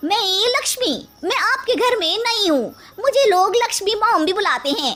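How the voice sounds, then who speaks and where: A woman speaks in a cartoonish character voice at an extremely high pitch. Her pace is moderate. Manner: brash, slangy.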